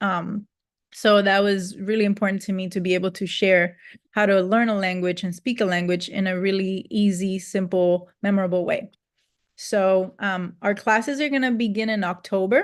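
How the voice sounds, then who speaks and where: Against a quiet background, the speaker uses a Spanish accent, a moderate pace and fairly even intonation. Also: woman, medium pitch for a woman. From Cuba. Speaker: Spanish teacher. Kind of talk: sales pitch. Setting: video call. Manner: casual, many fillers.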